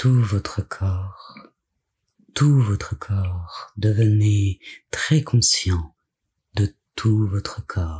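A man's fairly low, somewhat breathy voice, dark and mellow, soothing and calm in tone, with ordinary pitch variation, a very slow pace and long, frequent pauses. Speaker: yoga nidra guide. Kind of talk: guided meditation. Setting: solo recording, addressing listener lying down. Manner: slow, soothing, calm and gentle; hushed, measured, with long pauses.

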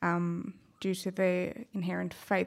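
The speaker has a South African accent. The recording is very clean, with a silent background. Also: woman. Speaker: HR professional. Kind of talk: panel discussion.

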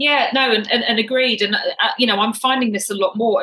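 With an English accent, this voice shows ordinary pitch variation. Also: woman. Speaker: triathlete and coach. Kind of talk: interview.

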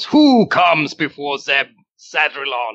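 Putting on a character voice, a man talks at a very slow pace in a fairly high pitch. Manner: menacing.

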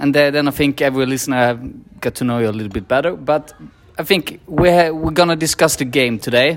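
Over music in the background, a man with a Swedish accent talks at a moderate pace in a fairly high voice with ordinary pitch variation. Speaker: podcast host. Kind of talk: casual chat. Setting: pub before a match.

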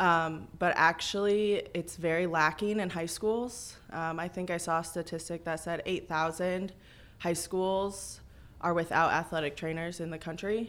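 An unremarkable speaking voice from a woman with an American accent, fairly low in pitch, with fairly even intonation and a fairly slow pace. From US Midwest, Illinois. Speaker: athletic trainer. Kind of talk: radio interview. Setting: radio studio.

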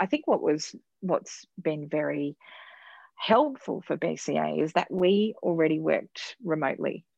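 A woman is speaking. She has an Australian accent. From Queensland, Australia. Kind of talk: interview. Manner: hesitant, many fillers.

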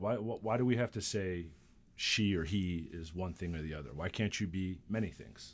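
Here a man speaks with a very deep, low pitch. He keeps a moderate pace. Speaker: podcast host. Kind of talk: interview. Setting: studio. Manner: casual.

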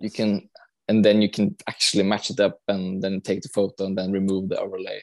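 A man with a Norwegian accent and monotone, flat intonation. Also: fairly low pitch for a man, dry, close sound with no echo. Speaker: film location hunter. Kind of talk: casual chat. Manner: halting.

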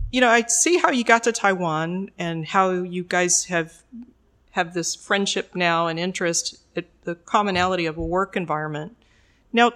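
Moderately paced speech in a normal speaking voice from a woman, medium in pitch with ordinary variation. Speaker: podcast host. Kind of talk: interview, scripted intro then casual conversation.

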